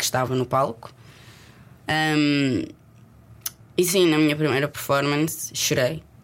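A woman at a very deep, low pitch and a fairly slow pace, with fairly even intonation, very even loudness and long, frequent pauses. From Portugal. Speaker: actress. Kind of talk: casual chat.

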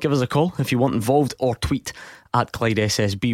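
Someone speaks with a Scottish accent, and the sound is dry and close with no echo. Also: man. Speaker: sports radio host. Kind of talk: radio phone-in discussion. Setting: studio.

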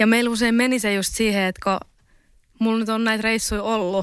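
On a very clean recording with a silent background, a woman speaks at a fairly quick pace with monotone, flat intonation. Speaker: university student, podcaster. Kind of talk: casual interview. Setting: studio.

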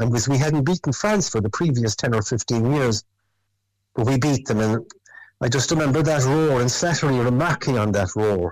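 With a Cork accent, a man speaks at a moderate pace and with ordinary pitch variation. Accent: Cork Irish. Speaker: former rugby player. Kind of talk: interview chat.

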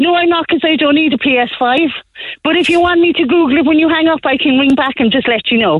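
Very fast and very even in loudness, a woman speaks with a high pitch and ordinary pitch variation. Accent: Cork. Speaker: caller. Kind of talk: phone-in call. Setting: phone call from car.

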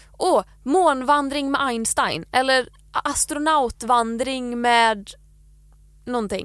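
This woman has a high pitch and ordinary pitch variation. She talks at a very slow pace. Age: 20s. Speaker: podcast co-host. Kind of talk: casual chat.

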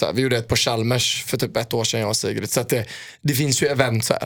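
A man talks at a very fast pace. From Sweden, Gothenburg. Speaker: footballer. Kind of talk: casual chat.

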